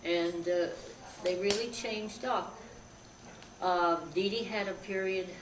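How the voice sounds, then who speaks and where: The speaker has an American accent and moves at a fairly slow pace with long, frequent pauses and fairly even intonation. Audible room echo and noticeable background noise fill the recording. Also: woman, medium pitch for a woman. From western New York. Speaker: relative of a celebrity. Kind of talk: interview. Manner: halting.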